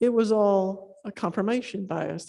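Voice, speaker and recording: A woman speaks with a dark, mellow tone. The background is quiet. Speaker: neuroscientist and workshop organizer. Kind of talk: conference talk. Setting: stage with audience. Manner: fast; casual, with many fillers.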